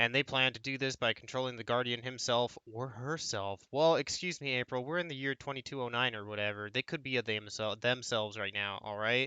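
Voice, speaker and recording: A quiet man at medium pitch, with ordinary pitch variation and a fairly quick pace. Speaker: game streamer. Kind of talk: let's play commentary. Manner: casual, conversational. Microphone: voice quiet compared to game audio.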